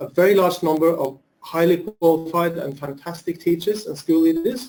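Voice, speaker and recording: In a Norwegian accent, a man with a high pitch and a dark, mellow tone talks at a moderate pace with ordinary pitch variation. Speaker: education administrator. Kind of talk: webinar presentation. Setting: video call. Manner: halting.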